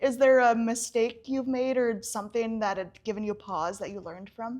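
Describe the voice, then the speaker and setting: A woman's fairly high voice at a moderate pace, with ordinary pitch variation. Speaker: volunteer coordinator, interviewer. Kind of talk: interview questions. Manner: conversational.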